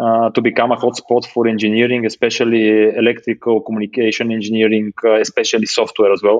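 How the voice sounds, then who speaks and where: In a Bulgarian accent, the speaker rushes along at a very fast pace with hardly any pauses, the intonation monotone and flat and the loudness very even. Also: man, medium pitch for a man. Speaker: space startup founder and CEO. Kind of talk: interview. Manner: halting.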